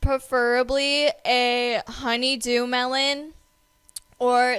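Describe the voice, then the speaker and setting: Loud and bright with a sharp tone, a woman speaks in a high pitch with fairly even intonation. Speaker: podcast co-host. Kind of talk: casual chat.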